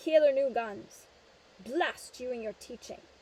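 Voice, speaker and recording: In a put-on character voice, a woman growls gruffly at a moderate pace, her pitch high. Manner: angry.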